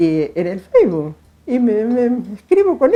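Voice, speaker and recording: Female voice in a Rioplatense accent, dark and mellow in tone, at a fairly slow pace. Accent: Argentine Rioplatense Spanish. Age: 60s. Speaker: retired school cook. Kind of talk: interview testimony. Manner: halting, repetitive.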